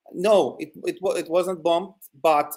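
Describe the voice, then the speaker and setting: A high-pitched man with a Ukrainian accent. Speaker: territorial defense volunteer. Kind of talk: news interview. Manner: halting, many fillers.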